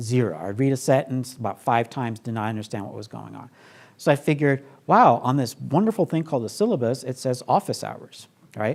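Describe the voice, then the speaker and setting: On a very clean recording with a silent background, a man with vocal fry talks fairly quickly at a medium pitch, his tone animated and his intonation lively. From Brooklyn, New York. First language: not English. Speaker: professor. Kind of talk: talk to audience. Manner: conversational, animated.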